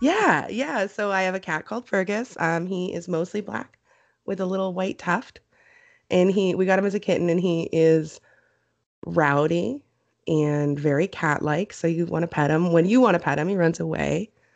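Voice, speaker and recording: A woman with a western Canadian accent at a moderate pace, quiet background. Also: fairly low pitch for a woman, ordinary pitch variation. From Canada. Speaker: podcast host. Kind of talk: casual chat.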